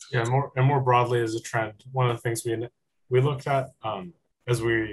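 A man with an American accent, medium pitch, a somewhat breathy voice and a very fast pace. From California, San Francisco Bay Area. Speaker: university student. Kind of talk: student presentation.

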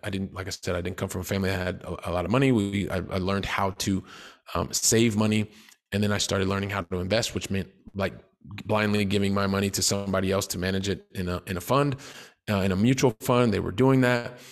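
A very fast male voice, fairly low in pitch, with fairly even intonation, in a very clean recording over a silent background. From US Midwest (Columbus, Ohio). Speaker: real estate investor. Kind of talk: interview.

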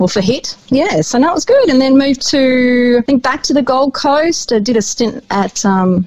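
A high-pitched woman at a moderate pace with lively intonation, amid noticeable background noise. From New Zealand, Wanganui. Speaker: radio host. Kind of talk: casual interview chat.

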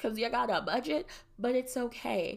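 Recorded very cleanly against a silent background, a woman speaks at a high pitch with lively intonation. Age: 20s. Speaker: podcast host. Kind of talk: casual solo monologue. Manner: filler-heavy, conversational.

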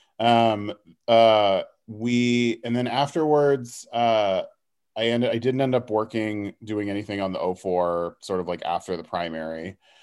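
Speaking with an American accent in a plain, everyday voice, a man of medium pitch talks at a fairly slow pace with ordinary pitch variation against a quiet background. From Houston, Texas. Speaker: political organizer. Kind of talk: casual interview.

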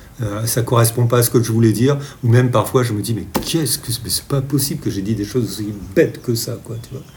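Medium in pitch, a man's voice comes across dark, mellow and somewhat breathy. His intonation stays fairly even. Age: 60s. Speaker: children's book author. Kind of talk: interview. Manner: halting.

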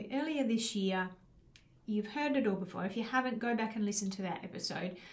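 A woman speaks in a fairly high pitch, somewhat breathy. Her intonation is lively. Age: 50s. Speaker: life coach and podcast host. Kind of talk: solo podcast monologue. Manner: casual with frequent fillers.

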